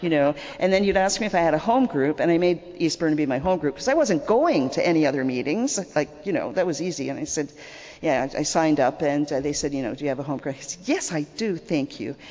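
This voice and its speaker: A woman's very deep, low voice with a Canadian accent, at a very fast pace with lively intonation, amid noticeable background noise. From Canada. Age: 60s. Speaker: recovering alcoholic speaker. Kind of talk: testimony. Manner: conversational, repetitive fillers.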